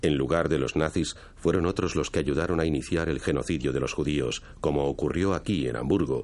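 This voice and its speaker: Solemn in tone and marked by vocal fry, the voice moves at a fairly quick pace with hardly any pauses, fairly even intonation and very even loudness. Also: man. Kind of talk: scripted documentary narration (Spanish dub). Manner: formal, measured, solemn.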